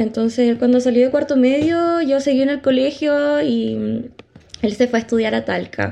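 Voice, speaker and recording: A woman with a Chilean accent speaks at a moderate pace, her pitch high and its variation ordinary. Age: 20s. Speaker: podcast co-host, psychology student. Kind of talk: casual chat. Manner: animated.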